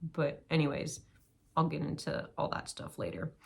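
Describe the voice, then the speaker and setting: A woman speaks with a very deep, low pitch and vocal fry. Her pace is moderate and her intonation fairly even. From US West Coast, San Diego. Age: 20s. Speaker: vlogger, post-collegiate runner. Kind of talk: casual vlog monologue. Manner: casual, hesitant with fillers.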